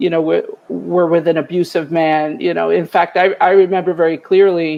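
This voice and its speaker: Speaking in a Bronx accent, a woman uses a fairly low pitch and a monotone, flat intonation at a moderate pace. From New York City, the Bronx. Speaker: retired EMS chief. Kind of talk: interview testimony.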